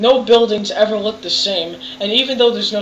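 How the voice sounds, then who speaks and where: A woman with an American accent amid noticeable background noise. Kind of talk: video game review commentary. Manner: casual, rambling.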